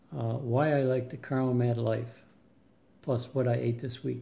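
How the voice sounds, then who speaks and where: Through audible room echo, a man with a dark, mellow tone and a somewhat breathy voice speaks at a moderate pace. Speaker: weight loss vlogger. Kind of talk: casual video update. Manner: hesitant, many fillers.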